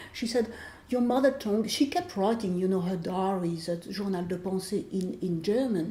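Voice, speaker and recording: The voice is somewhat breathy, with a dark, mellow tone. It moves at a moderate pace with ordinary pitch variation. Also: woman, medium pitch for a woman. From France. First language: French. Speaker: author. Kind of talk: interview.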